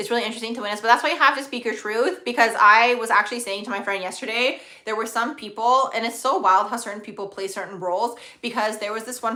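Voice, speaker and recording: Against noticeable background noise, a woman rattles along at a very fast pace with hardly any pauses, her fairly high pitch showing ordinary variation. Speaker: astrologer livestream host. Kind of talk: live stream Q&A, casual chat. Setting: live stream.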